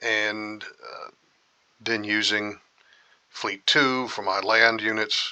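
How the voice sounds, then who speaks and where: A man's fairly low voice at a very slow pace, broken by long, frequent pauses. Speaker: gaming youtuber. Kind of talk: let's play commentary. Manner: casual, halting with fillers.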